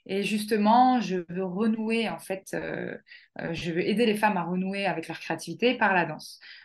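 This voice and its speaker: At a fairly slow pace, a woman of medium pitch talks with ordinary pitch variation. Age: 30s. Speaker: life coach and dance therapist. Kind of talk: casual interview. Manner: animated.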